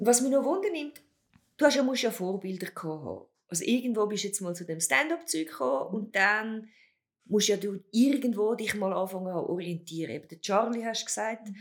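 A woman's pitch swings very widely as she speaks at a fairly quick pace. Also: fairly high pitch for a woman, big swings in loudness. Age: 50s. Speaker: podcast host. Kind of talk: casual chat.

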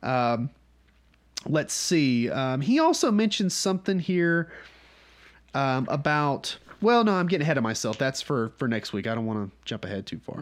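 With a Southern US accent, the speaker moves at a moderate pace through very wide pitch swings. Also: man, fairly high pitch for a man. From North Georgia, US South. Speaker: podcast host leading a Bible study. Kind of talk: Bible study teaching, casual. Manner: casual, conversational, humorous.

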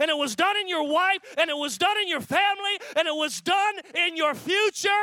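Over noticeable background noise, a man uses a raised, projected voice at an extremely high pitch, speaking at a moderate pace in an animated tone with ordinary pitch variation. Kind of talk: sermon, preacher in full flow. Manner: animated, fervent, declaring with rising intensity; repetitive, building rhythm with short parallel phrases.

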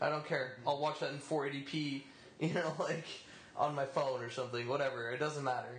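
Audible room echo surrounds a man speaking at a fairly high pitch with monotone, flat intonation. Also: moderate pace. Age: 20s. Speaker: podcast panelist. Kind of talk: casual chat.

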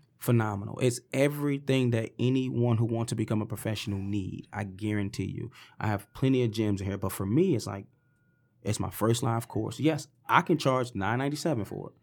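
On a very clean recording with a silent background, a man of medium pitch talks at a fairly quick pace with ordinary pitch variation. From US Midwest, east side Detroit. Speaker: motivational speaker and fitness educator. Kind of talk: interview, personal story.

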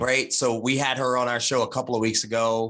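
A man's bright, sharp tone with an American accent. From Martinsville, Virginia. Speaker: bourbon podcast co-host. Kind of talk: casual chat.

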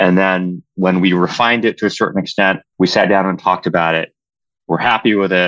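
A man with an American accent speaks at a fairly quick pace, his pitch very deep and low and his intonation monotone and flat. His loudness stays very even, and the sound is dry and close with no echo against a quiet background. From Southern California. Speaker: military officer. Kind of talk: interview.

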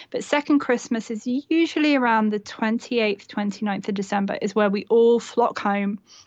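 In an unremarkable speaking voice, a woman talks at a moderate pace with hardly any pauses, her fairly high pitch showing ordinary variation. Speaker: blogger and mother. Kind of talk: casual chat.

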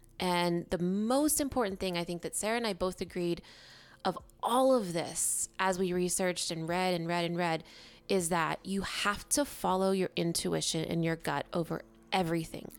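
In a very clean recording with a silent background, a woman with a fairly low pitch speaks at a moderate pace in an animated, nervous tone with ordinary pitch variation. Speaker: podcast co-host. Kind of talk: casual conversational podcast discussion. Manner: animated, nervous and jittery about the episode.

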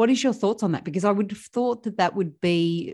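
A woman speaks with an Australian accent and ordinary pitch variation. The recording is very clean, with a silent background. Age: 40s. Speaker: podcast host, financial coach. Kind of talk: interview.

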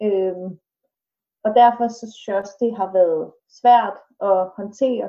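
A woman speaks at a very slow pace with a dark, mellow tone and a medium pitch. Her intonation is fairly even, though her loudness swings widely. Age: 20s. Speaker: student and fitness trainer, family member of mentally ill person. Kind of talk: casual interview. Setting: video call from home kitchen. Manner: hesitant, many filler sounds.

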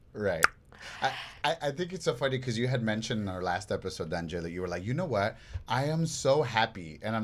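A man talks in an animated tone at a fairly quick pace, with very wide pitch swings. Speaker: podcast host. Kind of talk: casual chat. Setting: studio.

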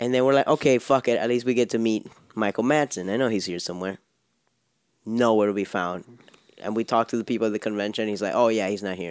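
The man's voice is fairly low, with ordinary pitch variation. He talks very fast, and the sound is dry and close with no echo. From Miami. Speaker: podcast co-host. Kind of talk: casual chat; show outro.

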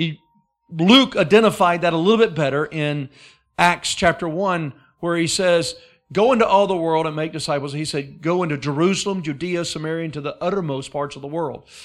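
A man with an Alabama accent speaks at a fairly quick pace in a high voice with ordinary pitch variation. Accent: Southern US (Alabama). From Alabama, US South. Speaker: guest preacher. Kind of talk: sermon. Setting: church service with congregation.

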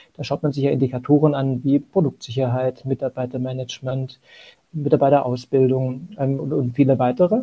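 A man talks at a fairly quick pace with fairly even intonation. His tone is dark and mellow, and somewhat breathy. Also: medium pitch for a man. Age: 40s. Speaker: asset management sustainability lead. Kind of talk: interview.

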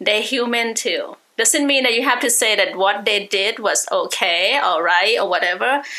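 A woman's normal speaking voice, fairly high in pitch, at a moderate pace with hardly any pauses, very even loudness and ordinary pitch variation. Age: 40s. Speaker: spiritual reader. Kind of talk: interview.

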